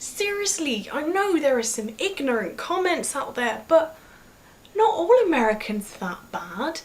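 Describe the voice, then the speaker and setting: With a British accent, a woman speaks at a high pitch and a fairly slow pace, her pitch swinging very widely and her loudness shifting a lot, amid audible room echo and noticeable background noise. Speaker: vlogger. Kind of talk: vlog monologue.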